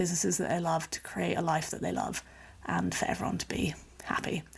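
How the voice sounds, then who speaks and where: Here is a woman speaking. Her voice has vocal fry. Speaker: podcast host and business coach. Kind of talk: solo podcast monologue. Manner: conversational, with some repetitions.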